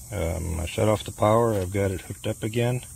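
A man speaks at a moderate pace with ordinary pitch variation and a somewhat breathy voice. The sound is dry with no echo, over light background noise. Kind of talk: tutorial. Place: garden. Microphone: phone near.

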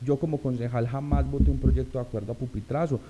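A man's medium-pitched voice over light background noise. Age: 30s. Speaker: local politician, assembly candidate; local politician, candidate. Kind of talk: interview. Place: studio. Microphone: studio mic.

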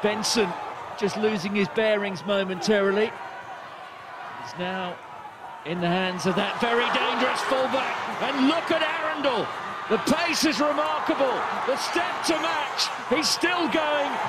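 A man speaks at a high pitch for a man, with very wide pitch swings, over noticeable background noise. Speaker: match commentator. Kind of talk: live sports commentary, play-by-play. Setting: stadium commentary, broadcast.

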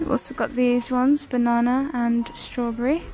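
Over faint background music, a woman speaks very slowly at a high pitch in a monotone, flat intonation. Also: dry sound with no echo. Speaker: shopping vlogger. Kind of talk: casual shop-with-me commentary. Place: shop. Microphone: phone near.

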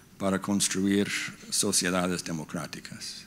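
A man's voice, fairly low in pitch. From United States. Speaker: diplomat. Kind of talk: lecture. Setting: stage with audience. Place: hall. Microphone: podium.

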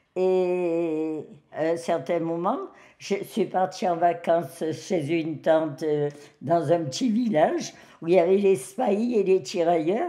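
Very slowly, a woman speaks in a dark, mellow tone. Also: fairly low pitch for a woman, ordinary pitch variation. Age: 90s. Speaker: elderly woman telling her life story. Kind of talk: personal testimony. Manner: hesitant, with fillers.

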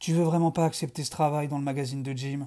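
The recording is very clean, with a silent background. The voice has a dark, mellow tone. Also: man. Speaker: video creator reading fiction aloud. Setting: home video recording in dim, reddish lighting. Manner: casual and relaxed in intro, chatty.

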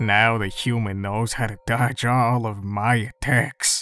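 A put-on character voice speaks at a very slow pace over faint music in the background. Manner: laid-back, dry.

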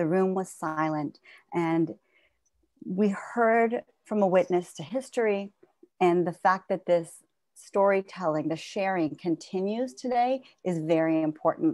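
A woman at medium pitch and a fairly slow pace, ordinary pitch variation, dry sound with no echo, quiet background. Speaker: Holocaust memoir program director. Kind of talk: introduction speech. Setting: video call. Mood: earnest, reflective. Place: home room. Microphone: earbuds.

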